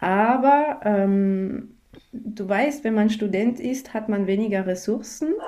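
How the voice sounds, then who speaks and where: A woman talks at a fairly high pitch with a dark, mellow tone and ordinary pitch variation. She speaks at a very slow pace in a room with audible echo. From France. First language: French (speaking German). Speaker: music teacher and yoga teacher. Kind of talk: interview. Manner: halting.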